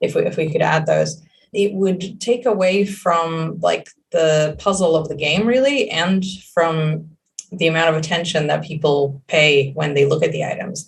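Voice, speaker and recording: Somewhat breathy, a woman speaks in a fairly low pitch at a moderate pace. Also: ordinary pitch variation. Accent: Israeli. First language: Hebrew. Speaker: game creative director. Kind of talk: interview. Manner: halting.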